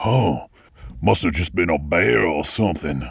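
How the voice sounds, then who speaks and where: Putting on a character voice, a man speaks gruff and raspy at a very deep, low pitch, with lively intonation at a moderate pace. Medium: audio drama. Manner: gruff, bullying.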